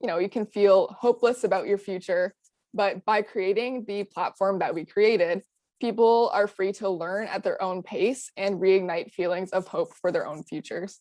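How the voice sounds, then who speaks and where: A woman's dark, mellow voice at a medium pitch and moderate pace, dry and close with no echo, on a very clean recording with a silent background. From Canada, Ottawa. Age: 20s. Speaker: student activist. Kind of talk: presentation.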